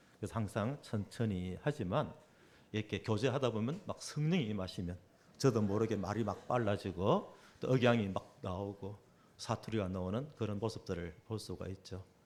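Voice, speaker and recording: With a Gyeongsang accent, a man talks at a moderate pace. His fairly low pitch varies in an ordinary way. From South Korea, Busan. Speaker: preacher. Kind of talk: sermon. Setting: church.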